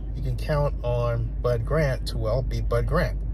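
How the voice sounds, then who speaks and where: Very deep, low male voice, dry with no echo, amid noticeable background noise. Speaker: sports commentator vlogger. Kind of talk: commentary. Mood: warm, reflective tribute. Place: car. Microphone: phone near.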